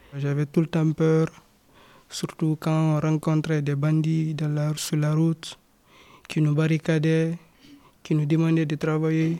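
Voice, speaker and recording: A man's fairly high, flat monotone at a very slow pace, with very even loudness and long, frequent pauses. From Guinea-Conakry, West Africa. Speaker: young migrant. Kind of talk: testimony.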